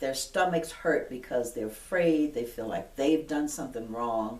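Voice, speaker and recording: With lively intonation and audible room echo, a woman speaks at a moderate pace. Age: 70s. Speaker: retired police detective. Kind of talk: interview testimony. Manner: halting, with frequent fillers.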